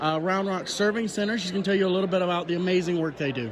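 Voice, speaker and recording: Loud and high-pitched, a man speaks with ordinary pitch variation. Audible room echo fills the sound. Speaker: vlogger and reseller. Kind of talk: casual chat. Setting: business expo.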